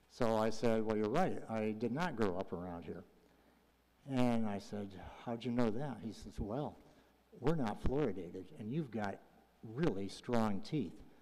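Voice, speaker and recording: With a dark, mellow tone and medium pitch, a man speaks at a fairly slow pace with long, frequent pauses and ordinary pitch variation, and audible room echo surrounds him. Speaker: public commenter, retired health charity executive. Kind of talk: public comment at council meeting.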